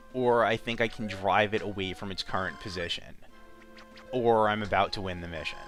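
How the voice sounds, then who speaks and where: Music plays in the background as a man talks at a fairly quick pace. His intonation is fairly even. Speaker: let's play commentator. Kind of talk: game commentary.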